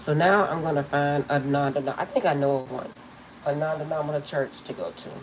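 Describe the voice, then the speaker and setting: A woman with a very deep, low pitch talks at a very fast pace with monotone, flat intonation over noticeable background noise. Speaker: tarot reader. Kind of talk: live stream chat. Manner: casual, chatty.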